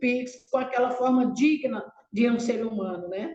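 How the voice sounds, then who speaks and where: The woman speaks at a fairly slow pace. Her pitch varies in an ordinary way. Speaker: waste-picker cooperative leader. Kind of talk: webinar panel presentation. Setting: online video call.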